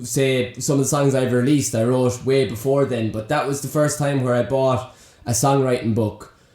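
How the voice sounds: Medium in pitch and slightly mellow in tone, a man speaks at a moderate pace.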